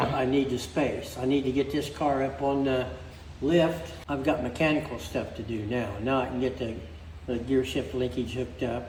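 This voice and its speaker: Audible room echo carries the voice of a man speaking at a fairly high pitch. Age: 80s+. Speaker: car restorer. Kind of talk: casual chat.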